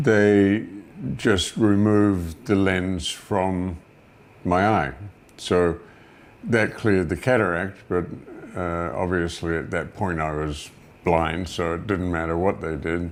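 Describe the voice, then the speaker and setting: A man at a very slow pace, very deep and low in pitch, with long, frequent pauses. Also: ordinary pitch variation. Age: 70s. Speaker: interviewee sharing health experience. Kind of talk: testimony. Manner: halting, many fillers.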